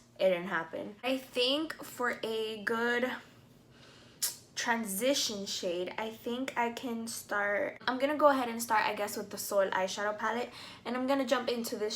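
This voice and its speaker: A woman talks at a moderate pace in a fairly high pitch, with ordinary pitch variation. Audible room echo surrounds her voice. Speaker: beauty vlogger. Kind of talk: makeup tutorial review. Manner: casual, chatty with fillers.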